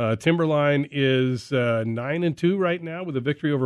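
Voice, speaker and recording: A man talks with an unremarkable speaking voice, fairly high in pitch. His pace is moderate and his pitch varies in an ordinary way. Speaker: radio host. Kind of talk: casual radio sports talk. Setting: radio studio.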